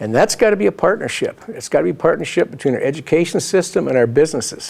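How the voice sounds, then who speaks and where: Over noticeable background noise, a man with an Upper Midwest accent talks very fast at a fairly high pitch, his voice swinging very widely up and down. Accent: Upper Midwest (Minnesota). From Minnesota. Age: 60s. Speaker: political candidate. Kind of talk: interview. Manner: halting, many fillers.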